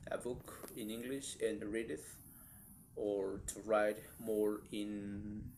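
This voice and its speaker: Amid audible room echo, a man with a Spanish accent speaks very slowly at a fairly low pitch in a monotone, flat intonation. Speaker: vlogger practicing English. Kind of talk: casual monologue vlog. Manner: halting, with restarts and fillers.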